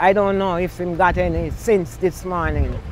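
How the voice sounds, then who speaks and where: Noticeable background noise surrounds a woman speaking at a moderate pace in a Jamaican accent. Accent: Jamaican, Patois features. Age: 70s. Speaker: community association president and resident. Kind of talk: news interview. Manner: halting.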